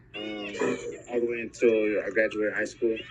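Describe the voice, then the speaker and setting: Noticeable noise sits in the background. The talking keeps a moderate pace. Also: man. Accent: American. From California (Oxnard). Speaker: interviewee, parent. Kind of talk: casual interview. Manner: halting.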